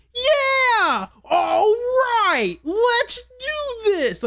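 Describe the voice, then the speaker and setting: Using a put-on character voice, a woman speaks at an extremely high pitch with lively intonation. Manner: exaggerated, theatrical.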